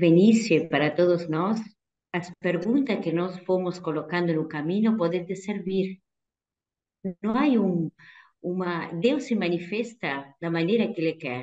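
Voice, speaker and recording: A woman with a Spanish accent and a dark, mellow tone, at a fairly slow pace with long, frequent pauses. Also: fairly low pitch for a woman, ordinary pitch variation. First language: Spanish (speaking Portuguese). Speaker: religious sister. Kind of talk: talk answering questions in an online vocational event.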